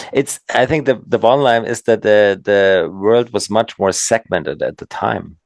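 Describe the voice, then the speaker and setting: This man has a medium pitch and a German accent, speaking at a moderate pace with hardly any pauses. The sound is dry and close, with no echo. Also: ordinary pitch variation. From Bavaria, southern Germany. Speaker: former pro freestyle skier, entrepreneur. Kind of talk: podcast interview.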